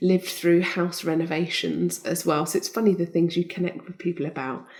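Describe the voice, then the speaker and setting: A soft-spoken woman talks in a dark, mellow tone with vocal fry. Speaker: Olympic skeleton champion. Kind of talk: interview answer.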